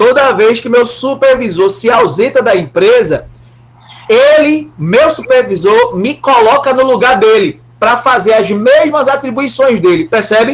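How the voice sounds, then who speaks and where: A man with a Brazilian accent speaks at an extremely high pitch with ordinary pitch variation and a fairly slow pace. His loudness stays very even, and background noise is noticeable. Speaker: law professor. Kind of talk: lecture.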